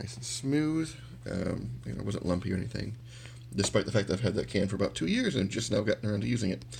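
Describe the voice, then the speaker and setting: Speaking at a very fast pace, a man has a fairly low pitch with vocal fry. His pitch swings very widely. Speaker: miniature painting hobbyist. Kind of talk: tutorial. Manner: casual, hesitant with many fillers.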